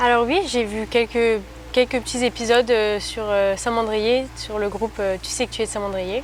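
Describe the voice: At a moderate pace, a woman talks in a fairly high pitch. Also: fairly even intonation.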